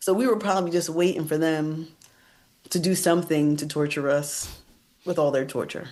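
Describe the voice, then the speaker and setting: At a moderate pace, the speech has ordinary pitch variation and long, frequent pauses amid audible room echo. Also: woman, very deep, low pitch for a woman. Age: 40s. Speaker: political strategist, former senior legislative staffer. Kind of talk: casual interview. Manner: animated.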